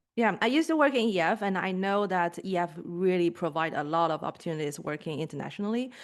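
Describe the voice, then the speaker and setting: Speaking very fast with hardly any pauses, a woman with a non-native accent uses lively intonation against a quiet background. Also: medium pitch for a woman. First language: not English. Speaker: podcast host, edtech co-founder. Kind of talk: interview.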